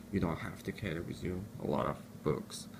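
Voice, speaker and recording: This man has a very deep, low pitch and a non-native accent. His pace is moderate. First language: not English. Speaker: student giving study tips. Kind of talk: tutorial. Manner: halting.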